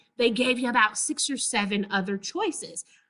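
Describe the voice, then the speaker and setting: Here a woman speaks with an American accent. Her pitch is fairly high, with ordinary pitch variation. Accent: Southern US accent, thick when excited. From Texas. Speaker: librarian presenter. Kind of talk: webinar presentation.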